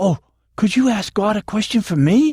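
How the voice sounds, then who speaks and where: This put-on character voice sits at a fairly high pitch and moves at a moderate pace. The recording is very clean, with a silent background. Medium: solo performance.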